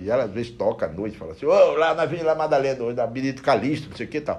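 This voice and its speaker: At a very fast pace, a man talks with vocal fry. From Brazilian Northeast. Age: 60s. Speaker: bookseller. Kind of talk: casual interview.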